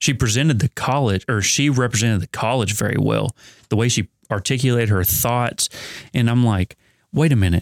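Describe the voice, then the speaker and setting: A plain, everyday voice talks at a fairly quick pace with ordinary pitch variation. The recording is very clean with a silent background, dry and close with no echo. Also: man, medium pitch for a man. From Kentucky, Ohio County. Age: 30s. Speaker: nonprofit fundraising director, college alumnus. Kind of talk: interview conversation.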